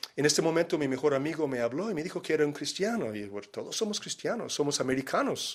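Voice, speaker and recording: A man's intonation is lively, with noticeable background noise in the recording. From Miami, Florida, USA. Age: 60s. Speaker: missionary. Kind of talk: personal testimony. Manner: hesitant, many fillers.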